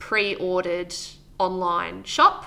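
Bright, sharp tone in an Australian accent at a fairly slow pace. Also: woman. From Victoria, Australia (Wangaratta). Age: 30s. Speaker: market gardener and former cafe owner. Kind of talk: interview.

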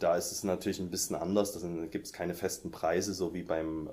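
Very deep and low in pitch, a man speaks with a dark, mellow tone and monotone, flat intonation. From Saxony, near Dresden. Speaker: music publishing editor. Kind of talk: interview.

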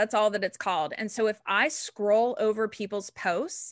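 Against a quiet background, a woman with an unremarkable speaking voice and fairly high pitch talks at a moderate pace, the sound dry and close with no echo. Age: 40s. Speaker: social media strategist. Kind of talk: casual chat.

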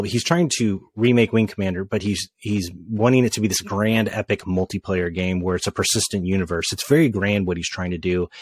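Delivered at a fairly quick pace, this is a normal speaking voice with ordinary pitch variation. The sound is dry and close with no echo, on a very clean recording with a silent background. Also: man. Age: middle-aged. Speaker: podcast host. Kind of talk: casual chat.

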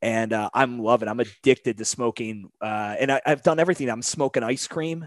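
In a plain, everyday voice, a man speaks at a medium pitch and a fairly quick pace with ordinary pitch variation, a dry, close sound with no echo, and a quiet background. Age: 30s. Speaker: podcast host and gym owner. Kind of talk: casual chat. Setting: remote call.

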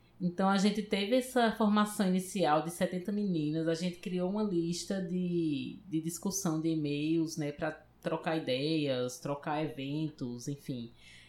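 Here a woman has a normal speaking voice with fairly low pitch and ordinary pitch variation. She goes at a fairly slow pace with hardly any pauses. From Paraíba, Brazil. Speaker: computer science professor. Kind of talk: interview.

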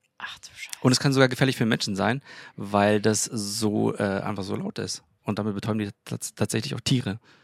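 In a dry, close recording with no echo, a man with an unremarkable speaking voice talks at a fairly low pitch with ordinary pitch variation and big swings in loudness. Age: 30s. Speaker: engineer and church co-founder. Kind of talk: casual chat. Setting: balcony of apartment.

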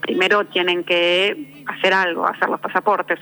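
A woman speaks at a moderate pace in a medium pitch with ordinary pitch variation, and noticeable background noise is present. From Argentina. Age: 50. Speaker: novelist. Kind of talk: interview. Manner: halting.

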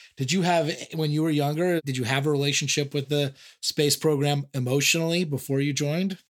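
A man with a Californian accent speaks at a fairly quick pace and very even loudness, his fairly high pitch captured in a very clean recording with a silent background. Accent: Californian American English. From US West Coast, San Diego. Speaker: podcast host. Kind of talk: casual interview. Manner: animated.

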